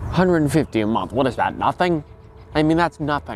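Light background noise can be heard. The sound is dry, with no echo. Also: man. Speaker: comedic character in mock interview. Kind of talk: interview answer. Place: garden. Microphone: lapel.

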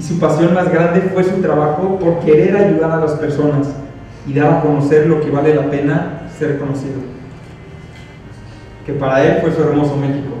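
A man at a moderate pace, fairly high in pitch, with fairly even intonation, a dark, mellow tone and strong room echo

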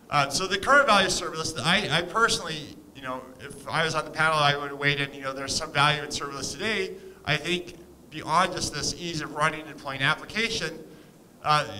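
A man talks at a fairly quick pace with ordinary pitch variation, with light background noise. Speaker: conference speaker. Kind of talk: lecture. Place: hall. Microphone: podium.

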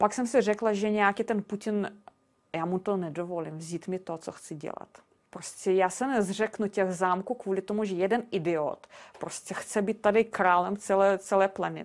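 A woman with a Russian accent, medium pitch, fairly even intonation and a moderate pace. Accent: Russian accent in Czech. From Russia and Belarus. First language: Russian (speaking Czech). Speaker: castle sales consultant. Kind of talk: interview.

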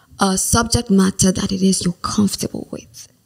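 A somewhat breathy voice with a dry, close sound and no echo. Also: woman. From Nigeria. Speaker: diction coach. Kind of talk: interview.

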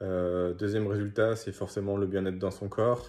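A man with a dark, mellow tone against a quiet background. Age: 20s. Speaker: gym member and judo instructor; judo instructor. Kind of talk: testimonial. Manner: hesitant with frequent fillers. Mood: calm, positive. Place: home room. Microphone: phone near.

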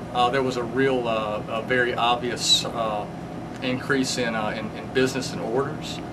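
Over loud background noise, a man with a Southern US accent talks in a monotone, flat intonation. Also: medium pitch for a man, moderate pace. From Mississippi, US South. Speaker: comic shop owner. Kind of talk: interview. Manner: halting. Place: shop.

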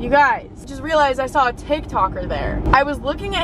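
A woman's voice comes through dry and echo-free, surrounded by loud background noise. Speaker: vlogger. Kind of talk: casual vlog chat. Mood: amused, excited storytelling. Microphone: phone near.

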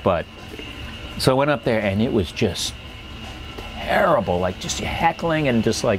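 A man with a medium-pitched voice speaks at a moderate pace with lively intonation and long, frequent pauses. Clear music plays behind him. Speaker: stand-up comedian. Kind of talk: interview answer. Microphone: lapel.

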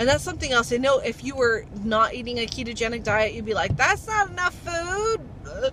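In a raised, projected voice with an American accent, a woman with a high pitch and very wide pitch swings talks at a moderate pace with hardly any pauses, her sound dry with no echo against noticeable background noise. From Ohio, US Midwest. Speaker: vlogger. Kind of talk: casual vlog talk. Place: car. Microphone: phone near.

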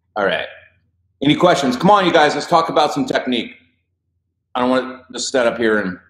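A man with an American accent talks at a very fast pace and a fairly high pitch, with lively intonation and long, frequent pauses. The background is quiet, though audible room echo is present. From Idaho. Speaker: voice coach. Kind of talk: live stream Q&A. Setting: Facebook live video. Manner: casual, animated. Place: studio.

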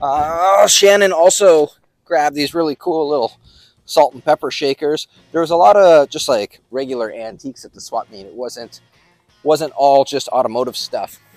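Faint music plays in the background of a dry recording with no echo, where speech moves at a moderate pace. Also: man. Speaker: car hobbyist vlogger. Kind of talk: casual vlog chat. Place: street.

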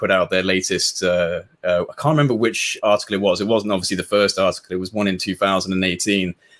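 A man with a fairly low pitch speaks at a very fast pace. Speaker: UFO researcher and interviewer; interviewer. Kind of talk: interview. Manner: hesitant. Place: home room.

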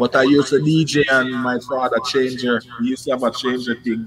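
A man with a strong Jamaican accent speaks in a flat monotone at a medium pitch, with light background noise. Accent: Jamaican, strong patois. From Kingston, Jamaica. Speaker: musician, singer-songwriter. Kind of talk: casual interview chat. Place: home room.

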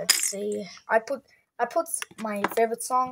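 A woman speaks at a fairly slow pace. Noticeable background noise runs underneath. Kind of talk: casual vlog chat. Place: home room. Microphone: phone near.

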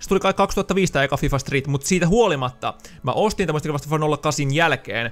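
A man speaks at a fairly quick pace. His pitch is fairly high, with ordinary variation. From Finland, Loimaa area; Finland. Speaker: gaming YouTuber; gaming youtuber. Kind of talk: casual Q&A video monologue. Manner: casual, many filler words. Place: home room. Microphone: studio mic.

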